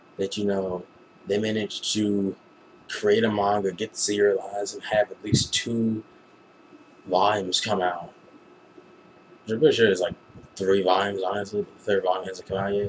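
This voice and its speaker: A man with an American accent, fairly low in pitch and monotone, at a moderate pace broken by long, frequent pauses, over noticeable background noise. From United States. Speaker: anime reviewer, vlogger. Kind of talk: casual review vlog. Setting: webcam recording at home at night. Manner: lowered voice, quieter than usual; rambling with fillers and restarts.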